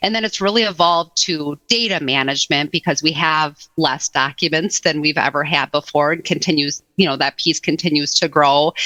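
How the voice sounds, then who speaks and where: A woman with an American accent speaks at a moderate pace in a very deep, low pitch with ordinary pitch variation and a bright, sharp tone. Her loudness stays very even with hardly any pauses, and the sound is dry and close with no echo. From Wisconsin, Madison area. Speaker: HR technology expert. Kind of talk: podcast interview.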